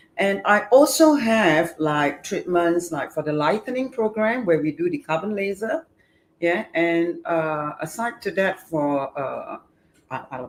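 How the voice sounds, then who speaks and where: A woman's plain, everyday voice, fairly low in pitch, fairly slow, with lively intonation. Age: 60s. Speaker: beauty clinic founder. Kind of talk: casual interview. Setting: live stream, standing.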